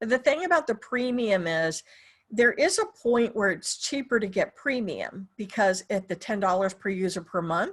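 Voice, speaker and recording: A woman with a fairly high pitch speaks at a moderate pace with lively intonation in an ordinary speaking voice. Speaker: software trainer. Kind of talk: webinar tutorial. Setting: online webinar.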